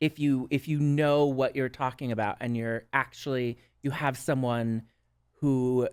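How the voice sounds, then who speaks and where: A woman with a Minnesotan accent has a very deep, low pitch and ordinary pitch variation. The recording is very clean, with a silent background. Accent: Minnesota. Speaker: drag performer and substance use counselor. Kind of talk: podcast interview.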